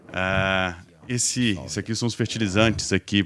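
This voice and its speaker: In a very clean recording with a silent background, a man speaks with a Minas Gerais accent at a very deep, low pitch. His pace is moderate and his intonation fairly even. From Minas Gerais, Brazil. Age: 40s. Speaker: logistics executive. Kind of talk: podcast interview. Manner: hesitant, many fillers.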